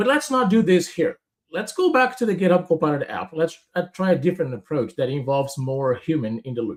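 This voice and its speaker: Here a man speaks with a Portuguese accent and a high pitch. His pitch swings very widely. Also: fairly quick pace. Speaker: software product manager and developer advocate. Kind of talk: live coding walkthrough. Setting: live stream. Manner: instructive.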